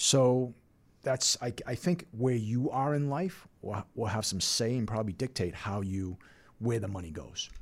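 A man speaks in a normal speaking voice at a fairly slow pace, his intonation lively, on a very clean recording with a silent background. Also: medium pitch for a man. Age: 50s. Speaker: financial advisor, firm founder. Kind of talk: casual chat.

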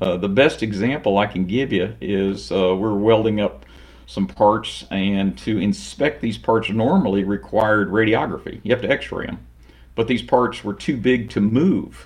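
Over a quiet background, a man with a fairly low voice and vocal fry speaks at a moderate pace with ordinary pitch variation. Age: 60s. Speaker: automation company president. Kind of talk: interview.

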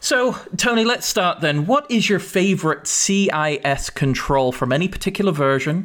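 At a moderate pace and with hardly any pauses, a man with an English accent speaks in a high pitch with very wide pitch swings and very even loudness. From England. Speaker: chief information security officer and podcast co-host. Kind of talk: casual chat. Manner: halting, many fillers.

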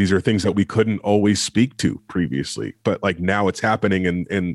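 Very deep and low, a man's voice moves at a moderate pace with ordinary pitch variation. The recording is very clean and dry, close with no echo, over a silent background. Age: 30s. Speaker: podcast co-host. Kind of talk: casual chat.

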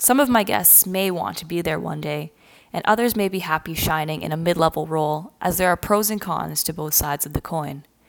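Speaking in a Canadian accent, a woman has an unremarkable speaking voice with a fairly low pitch. She talks at a fairly quick pace with ordinary pitch variation. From Canada, near Toronto. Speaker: podcast host and marketer. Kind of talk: scripted podcast introduction.

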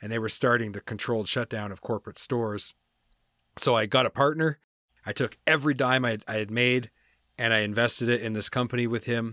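A man with an unremarkable speaking voice and a Canadian accent talks at a fairly quick pace and medium pitch with fairly even intonation, the sound dry and close with no echo on a very clean recording with a silent background. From New Brunswick, Canada. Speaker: consultant and podcast host. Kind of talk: interview, life story.

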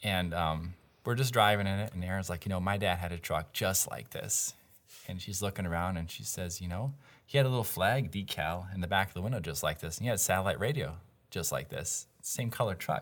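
Talking at a fairly quick pace, a man with a plain, everyday voice, a fairly low pitch and an American accent shows ordinary pitch variation. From various parts of the US. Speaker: property developer. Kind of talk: casual interview.

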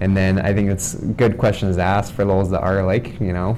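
A man with a fairly low pitch talks at a moderate pace over noticeable background noise. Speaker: podcast host. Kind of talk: casual interview. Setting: office.

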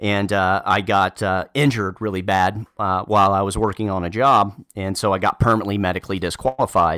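Bright and sharp in tone, a man speaks at fairly low pitch and a fairly quick pace, with fairly even intonation and hardly any pauses. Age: 30s. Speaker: nurse turned medical sales manager. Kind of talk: interview. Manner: halting, many fillers and repetitions.

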